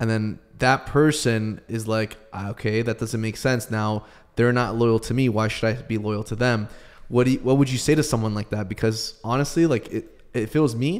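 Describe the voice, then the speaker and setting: In a quiet background, a man with an unremarkable speaking voice talks at a moderate pace, medium in pitch, with fairly even intonation. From Canada. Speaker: podcast co-host. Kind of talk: interview. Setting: video call. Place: studio. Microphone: studio mic.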